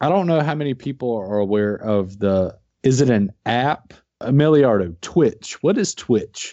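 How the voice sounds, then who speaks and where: With a normal speaking voice, a man talks at medium pitch and a fairly slow pace. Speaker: podcast host. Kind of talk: casual chat over beers.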